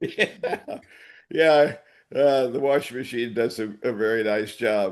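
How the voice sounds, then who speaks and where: A man talks at a very slow pace in a medium pitch, with ordinary pitch variation. The background is quiet. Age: 80s+. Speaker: podcast co-host. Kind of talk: casual chat. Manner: halting.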